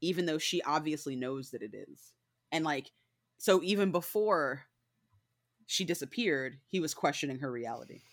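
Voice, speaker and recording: On a very clean recording with a silent background, a woman with a very deep, low pitch speaks at a moderate pace with lively intonation, big swings in loudness and long, frequent pauses. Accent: slight northern US. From northern US. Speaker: book club co-reader. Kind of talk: casual chat.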